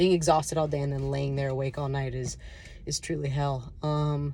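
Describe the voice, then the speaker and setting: Her voice is very deep and low for a woman, with a dark, mellow tone and some breathiness. She talks at a fairly quick pace with ordinary pitch variation. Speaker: chronic illness vlogger. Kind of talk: personal testimony to camera. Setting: self-filmed video. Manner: fast; halting, many fillers and restarts.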